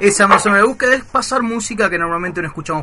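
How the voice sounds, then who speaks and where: Over noticeable background noise, a man talks at a very fast pace with a high pitch and lively intonation. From Buenos Aires, Argentina. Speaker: community radio host. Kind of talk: casual radio show. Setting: radio studio.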